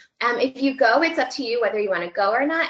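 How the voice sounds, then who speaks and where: A woman's high-pitched voice, loud and very fast. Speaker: student affairs professional giving job search advice. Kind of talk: webinar presentation. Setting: webinar broadcast.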